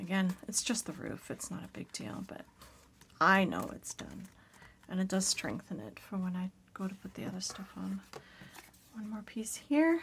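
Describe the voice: At a moderate pace and medium pitch, a woman speaks with lively intonation and a fairly bright tone that is raspy, with a slightly husky edge and vocal fry.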